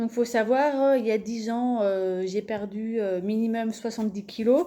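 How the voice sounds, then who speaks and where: A fairly high-pitched female voice, dark and mellow in tone. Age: 30s. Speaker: vlogger promoting supplements. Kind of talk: casual video presentation. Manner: hesitant, many filler words.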